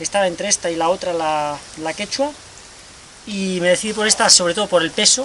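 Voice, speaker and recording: Light background noise runs behind a man who speaks fairly quickly at a high pitch with ordinary pitch variation. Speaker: amateur trail runner reviewing gear. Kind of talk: casual vlog chat. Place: garden. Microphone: camera far.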